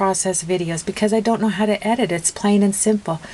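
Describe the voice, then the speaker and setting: Over noticeable background noise, a woman with a medium pitch talks at a fairly quick pace with fairly even intonation. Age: 60s. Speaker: craft video maker. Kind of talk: tutorial. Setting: home craft room. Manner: chatty, many fillers.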